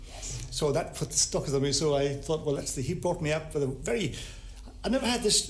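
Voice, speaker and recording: A man speaks at a fairly quick pace with lively intonation over noticeable background noise. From born in India. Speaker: comedian and author. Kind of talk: TV talk show interview answer.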